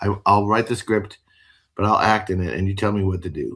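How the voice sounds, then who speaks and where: A man speaks in a somewhat breathy voice with a fairly low pitch. The background is quiet. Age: 60s. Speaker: rock musician. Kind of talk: interview. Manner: halting; casual.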